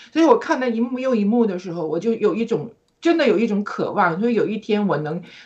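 Her voice is somewhat breathy and fairly high, with lively intonation. The woman talks at a moderate pace. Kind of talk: personal religious testimony. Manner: warm and enthusiastic.

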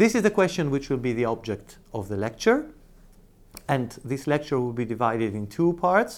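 At a fairly quick pace, a man speaks in a plain, everyday voice at a medium pitch. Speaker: law professor. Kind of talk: lecture. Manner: formal.

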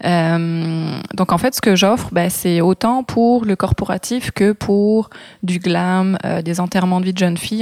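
Medium-pitched woman with an ordinary speaking voice, fairly even intonation and a fairly slow pace, in a dry, close sound with no echo. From France, Brittany (Morbihan). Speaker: photographer and makeup artist. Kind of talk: interview.

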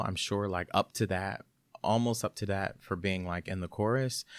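In a very clean recording with a silent background, a man speaks in a plain, everyday voice at a moderate pace with ordinary pitch variation. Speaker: actor. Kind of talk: casual chat.

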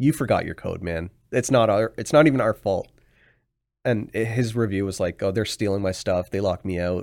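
On a very clean recording with a silent background, a man talks at a fairly quick pace with a Canadian accent. He has a plain, everyday voice, fairly low in pitch, with ordinary pitch variation. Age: 30s. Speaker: real estate investor. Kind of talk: casual chat.

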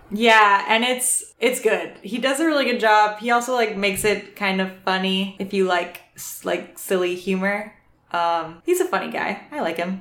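Moderate speed and ordinary pitch movement from a woman with an ordinary speaking voice, medium in pitch. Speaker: podcast co-host. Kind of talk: casual chat.

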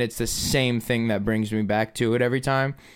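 A plain, everyday voice from a man, medium in pitch with ordinary pitch variation. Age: 20s. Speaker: painter and local musician. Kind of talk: casual chat. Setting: studio.

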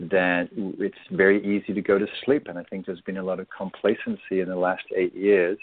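A man's very deep, low voice with an English accent at a moderate pace. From England. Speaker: meditation teacher and author. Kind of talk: radio interview.

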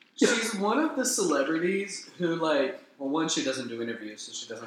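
Against noticeable background noise, a man with a slight Southern US accent speaks in an animated tone at a moderate pace, his fairly high pitch moving in very wide swings. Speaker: podcast co-host. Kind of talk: casual comedic banter. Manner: animated, joking.

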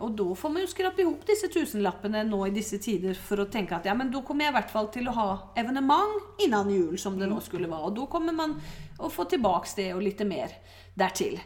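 Amid noticeable background noise, a woman with a fairly high pitch speaks at a fairly quick pace with very wide pitch swings. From Norway, Oslo. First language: Norwegian (speaking Swedish). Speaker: stage performer. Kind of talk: casual chat.

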